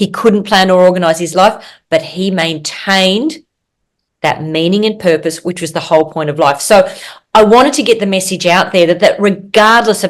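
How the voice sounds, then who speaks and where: This woman has an Australian accent and a fairly low pitch. She talks at a moderate pace with ordinary pitch variation. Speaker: physician and author. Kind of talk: interview.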